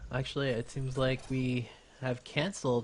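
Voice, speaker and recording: A man speaks at a fairly slow pace in a somewhat breathy voice. The background is quiet. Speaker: amateur StarCraft 2 shoutcaster. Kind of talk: esports game commentary. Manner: casual, hesitant with frequent filler words.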